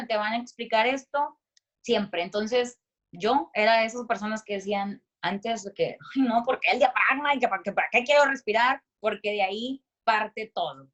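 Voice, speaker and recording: A woman speaks loudly in an animated tone. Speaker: voice-over announcer and speaker. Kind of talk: voice coaching talk.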